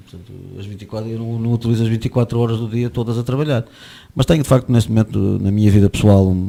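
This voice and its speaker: A man talks very fast with a dark, mellow tone, fairly even intonation and big swings in loudness, in a very clean recording with a silent background. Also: medium pitch for a man. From Portugal, Porto. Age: 60s. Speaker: sports event organiser and running coach. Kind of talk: radio interview. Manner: halting, many fillers and repetitions.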